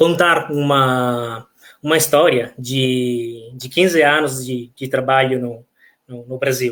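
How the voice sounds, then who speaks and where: With an Italian accent, a man speaks very slowly at a medium pitch. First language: Italian (speaking Portuguese). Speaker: professor of architecture. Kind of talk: lecture. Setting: online live talk. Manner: halting, many fillers.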